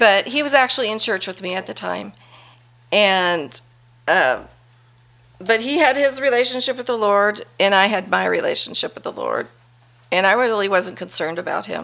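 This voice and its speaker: With a bright, sharp tone and vocal fry, a woman speaks with lively intonation and long, frequent pauses on a very clean recording with a silent background. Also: medium pitch for a woman, moderate pace. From Las Vegas, Nevada. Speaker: churchgoer sharing testimony. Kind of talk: testimony.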